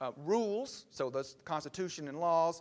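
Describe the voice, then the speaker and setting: A man speaks with a Southern US accent, his pitch fairly high and his intonation varying in an ordinary way. The recording is very clean, with a silent background. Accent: Southern US (Georgia). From US South, Georgia (LaGrange). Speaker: political science professor. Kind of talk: lecture. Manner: fast.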